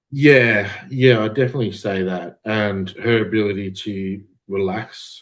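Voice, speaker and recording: A man's fairly low voice carries an Australian accent. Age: 30s. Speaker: amateur bodybuilder. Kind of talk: podcast interview.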